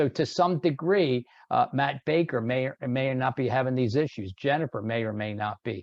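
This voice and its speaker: Lively intonation marks this man's medium-pitched, moderately paced delivery, an unremarkable speaking voice. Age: 60s. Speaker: sales trainer. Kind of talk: webinar presentation. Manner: conversational, filler-heavy.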